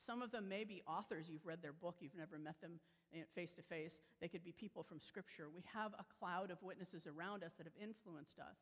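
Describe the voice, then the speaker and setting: A woman's fairly low voice at a moderate pace over a quiet background. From Chicago area, US Midwest; Illinois. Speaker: preacher. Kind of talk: sermon. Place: church.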